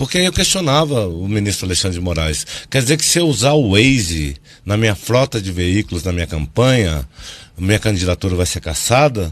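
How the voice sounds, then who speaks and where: A man speaks at a fairly quick pace with a fairly low pitch and very wide pitch swings. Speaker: political communication consultant. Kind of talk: TV news interview. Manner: loud; animated.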